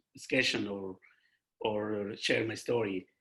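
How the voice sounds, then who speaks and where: Here a man speaks at a fairly slow pace. His medium-pitched voice has a bright, sharp tone. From Darfur, Sudan. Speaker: refugee and nonprofit leader. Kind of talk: personal testimony talk. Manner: halting.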